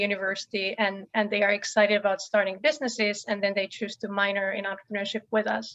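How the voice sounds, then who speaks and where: A woman with a Finnish accent at medium pitch, very fast pace and monotone, flat intonation. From Finland. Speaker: professor. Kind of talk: panel introduction talk.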